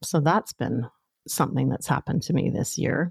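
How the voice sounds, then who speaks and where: With a Canadian accent, a woman speaks in a very deep, low pitch with vocal fry and a dark, mellow, warm tone, in a dry, close sound with no echo. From northern Canada. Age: 50s. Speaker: podcast host and coach. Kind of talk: solo monologue, personal storytelling. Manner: warm, conversational with frequent laughs.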